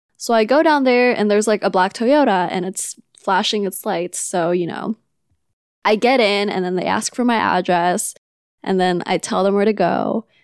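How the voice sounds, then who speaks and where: This woman has a plain, everyday voice with medium pitch. She talks at a moderate pace with ordinary pitch variation. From Philippines, Manila; moved to California. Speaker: podcast co-host, childcare provider. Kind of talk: casual chat.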